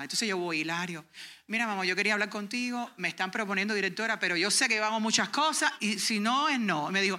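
The speech goes at a very fast pace on a very clean recording with a silent background. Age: 40s. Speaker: homeschooling parent and workshop speaker. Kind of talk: workshop talk and testimony. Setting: conference workshop with audience.

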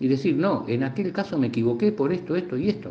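A somewhat breathy man with an Argentine accent, medium pitch and very wide pitch swings. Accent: Rioplatense Argentine Spanish. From Argentina, La Plata. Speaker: UFO researcher. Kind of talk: interview. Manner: halting.

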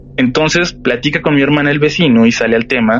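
A man talks at a fairly quick pace, his pitch medium. Music plays in the background. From Mexico, Tijuana. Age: 30s. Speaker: horror podcast host. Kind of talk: storytelling in interview. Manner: halting, repeats words.

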